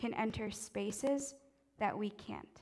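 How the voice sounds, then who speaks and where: With a fairly high pitch and ordinary variation in it, this woman's voice carries through. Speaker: preacher. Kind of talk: sermon with spoken prayer; fervent intercessory prayer. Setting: church. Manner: earnest, fervent, pleading; warm, reverent.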